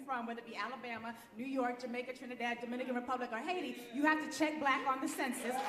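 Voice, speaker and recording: An animated tone with ordinary pitch variation and audible room echo. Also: woman. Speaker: racial justice lawyer. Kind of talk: conference presentation. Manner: fast.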